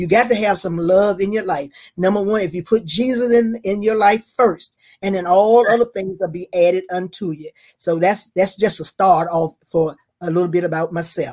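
A woman speaks with a Southern US accent at medium pitch and a moderate pace. Her tone is dark and mellow, with ordinary pitch variation. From North Carolina. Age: 70s. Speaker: retired school worker. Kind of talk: casual interview.

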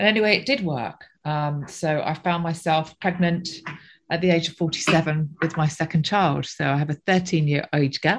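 A plain, everyday voice at a moderate pace, with ordinary pitch variation over a quiet background. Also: woman, fairly low pitch for a woman. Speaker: events company director. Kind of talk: interview.

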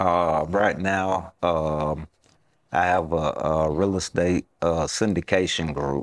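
Very slowly, a man speaks at a very deep, low pitch with very even loudness and fairly even intonation, in a dry, close sound with no echo. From US South, Southwest Atlanta. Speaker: entrepreneur. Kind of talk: interview podcast. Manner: halting.

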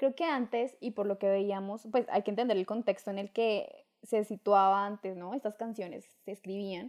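Using an ordinary speaking voice, a woman talks at a moderate pace and medium pitch with hardly any pauses. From Colombia, Duitama, Boyacá. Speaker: podcast co-host. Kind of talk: casual chat.

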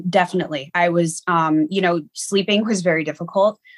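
Here is a woman with a normal speaking voice, fairly low in pitch, talking at a fairly quick pace. Her intonation is fairly even, and the sound is dry and close with no echo. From Niagara Falls, New York. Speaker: medium. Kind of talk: interview.

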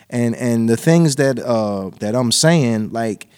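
Here is a man with an ordinary speaking voice at medium pitch. His pitch varies in an ordinary way. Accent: American. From New Jersey, Lawnside. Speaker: rapper. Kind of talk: casual chat.

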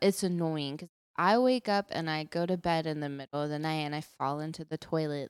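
A woman with an American accent and a plain, everyday voice speaks at a fairly low pitch with ordinary pitch variation, the sound dry and close with no echo on a very clean recording with a silent background. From Texas. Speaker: podcast co-host. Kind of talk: casual chat. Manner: playful, joking.

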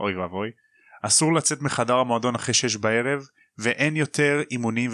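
Ordinary pitch variation in plain reading aloud

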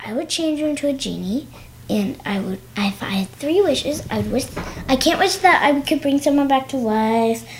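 A woman's put-on character voice, whiny and high-pitched, at a moderate pace over light background noise. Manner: whining, complaining.

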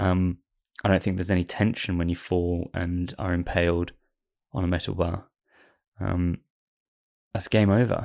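A man with a very deep, low voice talks at a moderate pace with fairly even intonation. Long, frequent pauses break up his speech in a very clean recording with a silent background. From Wales. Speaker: podcast co-host. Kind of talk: casual chat.

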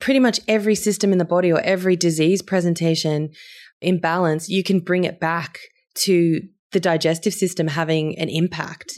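On a very clean recording with a silent background, a woman with a normal speaking voice talks at a fairly quick pace, with fairly low pitch, fairly even intonation and very even loudness. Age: 30s. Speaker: herbalist and nutritionist. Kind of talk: interview.

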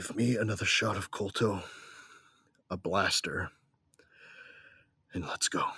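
A man puts on a raspy character voice with a fairly low pitch. He keeps a moderate pace but leaves long, frequent pauses. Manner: gruff, terse.

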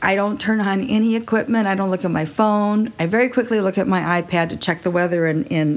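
A woman with an American accent, an ordinary speaking voice, medium pitch, ordinary pitch variation and a fairly quick pace. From Texas. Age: 60s. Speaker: podcast host, wine seller and yoga teacher. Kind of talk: solo podcast monologue.

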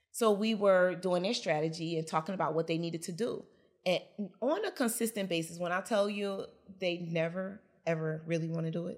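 A woman's fairly low voice in an American accent, a normal speaking voice at a fairly quick pace with ordinary pitch variation, on a very clean recording with a silent background. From Newark, New Jersey. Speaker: business coach. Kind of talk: interview.

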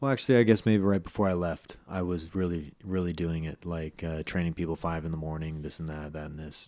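In a Californian accent, a man with a very deep, low pitch and a dark, mellow tone talks at a fairly quick pace with hardly any pauses, on a very clean recording with a silent background. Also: ordinary pitch variation, big swings in loudness. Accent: Californian American. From US West Coast, San Francisco Bay Area. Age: 30s. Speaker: MMA fighter and personal trainer. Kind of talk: interview.

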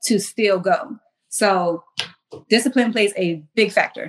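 A woman with an American accent has an ordinary speaking voice, a fairly high pitch and ordinary pitch variation, talking at a moderate pace. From US South, Charleston area, South Carolina. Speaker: military service member and fitness apparel entrepreneur. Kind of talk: casual interview.

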